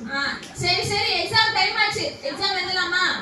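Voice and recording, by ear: A woman performs a cartoonish character voice with extremely high pitch and a bright, sharp tone, using fairly even intonation at a moderate pace, with audible room echo.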